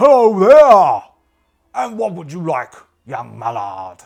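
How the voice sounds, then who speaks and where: Using a put-on character voice, a man speaks loudly and fairly slowly at a high pitch, with very wide pitch swings. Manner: cheerful, welcoming.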